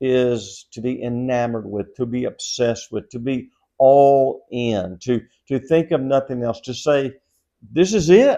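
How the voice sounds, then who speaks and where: A man with a Southern US accent and a dark, mellow tone, fairly slow, with ordinary pitch variation against a quiet background. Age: 60s. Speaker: pastor. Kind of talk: devotional Bible teaching. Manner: conversational.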